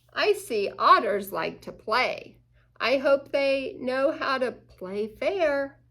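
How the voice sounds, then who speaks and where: A woman's put-on character voice, high in pitch, raised and projected, at a very slow pace. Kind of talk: bedtime story. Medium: read story. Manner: earnest, gentle.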